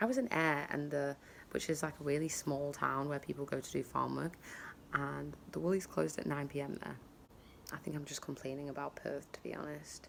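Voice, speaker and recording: Someone with a British accent speaks at a fairly quick pace. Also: woman. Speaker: travel vlogger. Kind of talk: casual vlog. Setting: outdoors in garden. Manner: quiet.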